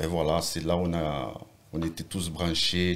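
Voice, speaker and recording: The pace is fairly slow and the intonation fairly even. A man speaks with a very deep, low pitch. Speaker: rapper. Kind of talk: casual interview.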